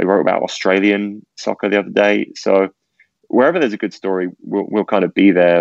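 Here a man talks in an unremarkable speaking voice at a fairly low pitch. His pace is fairly quick and his intonation fairly even. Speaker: media executive. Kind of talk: casual interview.

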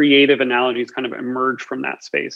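Monotone and flat, a man speaks at a medium pitch. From United States. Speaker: experience artist and designer. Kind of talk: casual chat. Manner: halting, many fillers.

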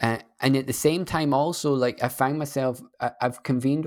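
A man's medium-pitched voice with a Scottish accent. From Scotland. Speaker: guest, tech startup founder. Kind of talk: casual interview conversation. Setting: remote video call. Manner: calming, slow, hesitant with fillers.

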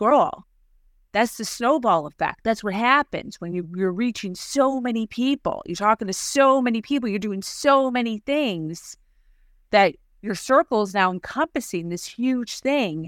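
A fairly high-pitched woman with a Chicago accent talks at a fairly slow pace with lively intonation. The recording is very clean, with a silent background and a dry, close sound with no echo. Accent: Chicago-area American. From US Midwest, Chicago suburbs. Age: 40s. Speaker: time management coach. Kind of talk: interview. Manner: animated.

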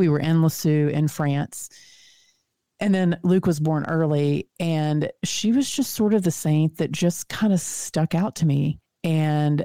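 In a Texan accent, a woman speaks with a very deep, low pitch and a dark, mellow tone. Her intonation is fairly even, and the sound is dry and close with no echo. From Texas. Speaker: author and speaker. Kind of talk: casual interview chat. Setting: video call.

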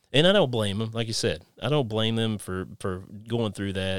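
Very cleanly recorded against a silent background, a man with an Appalachian accent speaks at a fairly low pitch. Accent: Appalachian Kentucky. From Kentucky. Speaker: podcast host. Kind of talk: casual interview chat.

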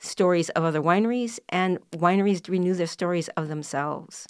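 A woman with a plain, everyday voice speaks in an American accent at a medium pitch. Her moderate pace and ordinary pitch variation come through on a very clean recording with a silent background. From US Midwest, northern Minnesota. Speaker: wine marketing writer. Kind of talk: casual chat.

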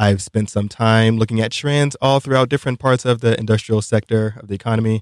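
A man with an ordinary speaking voice talks at a fairly quick pace in a medium pitch, with fairly even intonation, hardly any pauses and big swings in loudness. The sound is dry and close with no echo, in a very clean recording with a silent background. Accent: American. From Brooklyn, New York. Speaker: economist and podcast co-host. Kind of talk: casual chat.

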